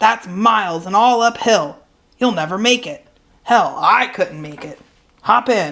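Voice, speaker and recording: Putting on a character voice, a woman speaks at a fairly slow pace in a raspy, fairly high pitch, with very wide pitch swings and big swings in loudness. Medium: read story. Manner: folksy, plainspoken.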